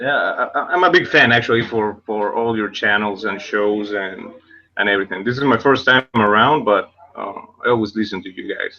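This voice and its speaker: With a South American accent, a man talks at a moderate pace. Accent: South American-tinged English. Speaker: first-time guest. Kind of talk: casual chat.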